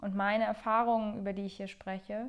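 Fairly quick speech with fairly even intonation comes over a quiet background. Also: woman. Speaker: podcast host and flutist. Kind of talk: casual solo monologue. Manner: unscripted, rambling with fillers.

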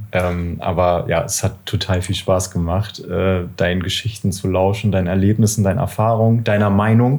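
This man has a very deep, low pitch and fairly even intonation. He talks with hardly any pauses. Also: moderate pace. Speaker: podcast co-host. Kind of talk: casual interview. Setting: record shop.

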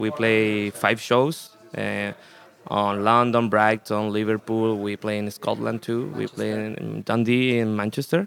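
A man with a Spanish accent, fairly low pitch and fairly even intonation, amid noticeable background noise. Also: fairly slow pace. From Chile. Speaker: punk rock musician. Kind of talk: casual interview. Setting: festival radio studio.

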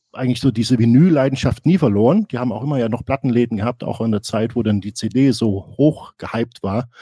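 At a moderate pace, a man speaks at a medium pitch with ordinary variation and a dark, mellow tone, the sound dry and close with no echo. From East Germany. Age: 40s. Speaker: music podcaster. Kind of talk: casual chat.

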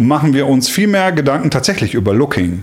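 A man's voice is heard with noticeable background noise. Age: 40s. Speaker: podcast host, worship musician. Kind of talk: casual chat.

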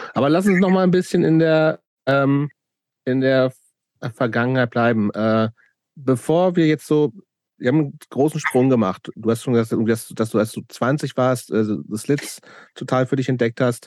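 In a very clean recording with a silent background and a dry, close sound with no echo, a man at medium pitch speaks at a moderate pace with very even loudness, ordinary pitch variation, and long, frequent pauses. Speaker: podcast host. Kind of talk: casual interview.

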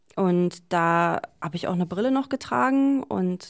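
At a fairly slow pace, a woman with a plain, everyday voice speaks at a fairly low pitch in a very clean recording with a silent background. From Berlin, Germany. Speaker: DJ. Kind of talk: interview.

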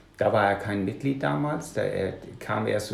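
A man's fairly low voice with audible room echo. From Denmark. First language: Danish (speaking German). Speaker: punk musician and author. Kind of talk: casual interview.

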